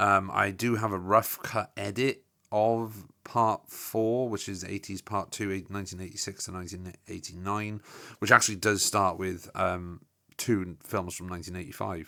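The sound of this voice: Vocal fry runs through a bright, sharp tone delivered at a moderate pace with little pitch movement, on a very clean recording with a silent background. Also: man, low pitch for a man.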